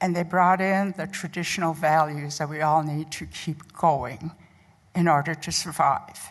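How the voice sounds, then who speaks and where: A woman speaks in a Lakota accent. Her pitch is very deep and low, with fairly even intonation. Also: fairly slow pace. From Pine Ridge, South Dakota (Oglala Lakota). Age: 70s. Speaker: nurse educator. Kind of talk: conference talk.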